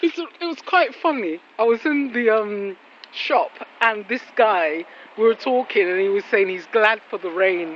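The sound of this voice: A woman speaks at a fairly slow pace with few pauses. Her pitch is medium, with ordinary variation.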